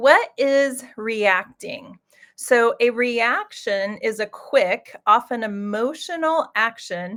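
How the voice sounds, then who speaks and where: A woman with a Midwestern US accent speaks at a high pitch. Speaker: executive coach. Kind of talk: live webinar presentation. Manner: hesitant, many fillers.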